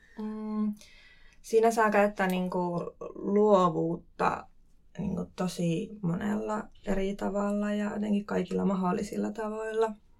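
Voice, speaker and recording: A very slow pace from a woman, her pitch medium and her intonation fairly even. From Finland, Kuopio (Savo). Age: 20s. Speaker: cultural event producer. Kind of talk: casual interview. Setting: studio.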